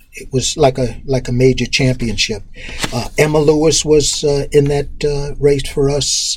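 With an American accent, a man speaks at a fairly high pitch and a fairly slow pace, using ordinary pitch variation. His loudness swings widely, and noticeable background noise is present. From New York City (Harlem, Queens, Long Island). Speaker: track coach and PE teacher. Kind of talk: interview. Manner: hesitant with many fillers.

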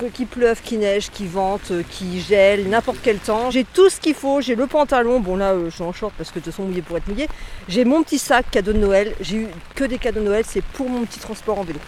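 A woman talks fairly quickly in a fairly high pitch, her pitch moving in an ordinary way. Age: 50s. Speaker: bike commuter. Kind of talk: testimony. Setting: outdoors at a car park. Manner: animated.

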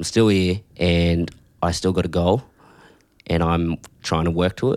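Long, frequent pauses break up a man's fairly slow speech, his pitch very deep and low, in a very clean recording with a silent background. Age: young. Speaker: young photographer. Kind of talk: casual chat.

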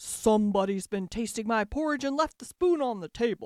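A woman puts on a growling character voice at a fairly high pitch and a fairly quick pace.

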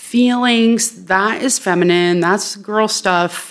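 A woman speaks in an American accent with an ordinary speaking voice. Her pitch is medium, with ordinary pitch variation. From Worcester, Massachusetts, US. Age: middle-aged. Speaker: social work educator. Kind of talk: casual interview.

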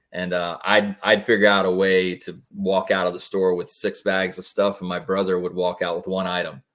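In an American accent, a man with a very deep, low pitch speaks at a moderate pace in monotone, flat intonation with hardly any pauses, on a very clean recording with a silent background. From Florida, West Pasco area. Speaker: mortgage loan officer. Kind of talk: casual interview.

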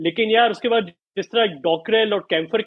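A man's voice with ordinary pitch variation. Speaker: cricket podcast co-host. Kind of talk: casual chat. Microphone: internet connection drops, audio freezing.

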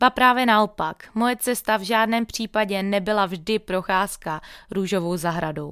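This woman has a normal speaking voice at medium pitch, with ordinary pitch variation and a fairly slow pace. The sound is dry and close with no echo, a very clean recording with a silent background. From Moravia, Czechia. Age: 20s. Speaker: fitness trainer and podcast host. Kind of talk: scripted monologue. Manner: upbeat.

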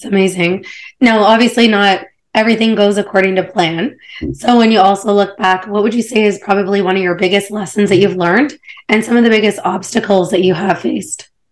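At a fairly quick pace, a woman with a normal speaking voice and medium pitch keeps her intonation fairly even. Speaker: podcast host. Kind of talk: interview.

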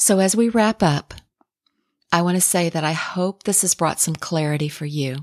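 A woman at a fairly low pitch and moderate pace, with ordinary pitch variation and a dry, close sound with no echo. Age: 60s. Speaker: podcast host. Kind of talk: inspirational monologue.

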